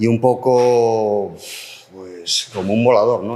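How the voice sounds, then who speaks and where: Noticeable background noise runs under this recording. A man speaks at a medium pitch. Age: 60s. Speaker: politician, language policy spokesperson. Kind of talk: panel debate. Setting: public round table with audience.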